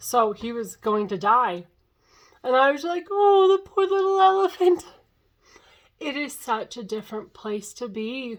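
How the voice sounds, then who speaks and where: Her pitch swings very widely as this woman talks at a moderate pace. The recording is very clean, with a silent background. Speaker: vlogger documenting a fast. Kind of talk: casual video diary.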